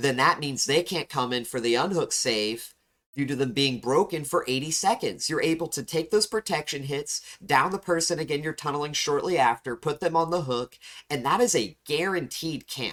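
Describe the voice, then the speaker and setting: A man has a normal speaking voice, fairly high in pitch with ordinary variation. He speaks at a moderate pace. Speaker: gaming youtuber. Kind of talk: gameplay commentary and analysis.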